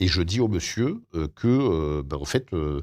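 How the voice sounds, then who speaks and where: A man speaks at a very slow pace in a very deep, low voice with lively intonation, on a very clean recording with a silent background. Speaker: radio host. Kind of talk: interview. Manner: halting.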